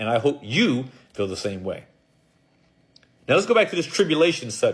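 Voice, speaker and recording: An animated, somewhat breathy male voice, fairly high in pitch, with very wide pitch swings and long, frequent pauses. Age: 60s. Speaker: preacher. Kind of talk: sermon.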